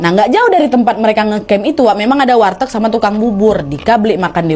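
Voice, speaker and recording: A woman's very fast speech with very wide pitch swings, over noticeable background noise. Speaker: horror storyteller / channel host. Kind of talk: horror story narration with ASMR framing. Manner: casual, chatty storytelling.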